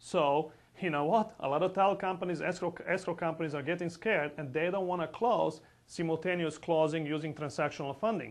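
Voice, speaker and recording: A fairly high-pitched man at a fairly quick pace, with ordinary pitch variation and a quiet background. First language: not English. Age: 40s. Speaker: real estate investor. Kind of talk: sales pitch. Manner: animated.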